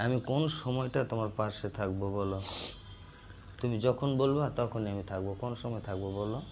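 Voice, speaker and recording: Ordinary pitch movement in a man's medium-pitched voice. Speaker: boyfriend on a phone call. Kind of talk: casual phone chat between lovers. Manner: loud.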